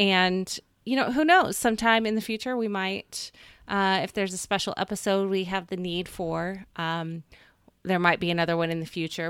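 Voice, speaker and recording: A woman with an American accent speaks in a plain, everyday voice at medium pitch and a moderate pace, her intonation fairly even, on a very clean recording with a silent background. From United States. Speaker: podcast co-host. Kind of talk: casual chat.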